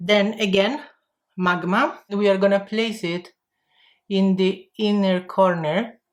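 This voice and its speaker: A woman with an Italian accent at a very slow pace, medium in pitch, with fairly even intonation. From Italy. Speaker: makeup vlogger. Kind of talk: tutorial. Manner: halting.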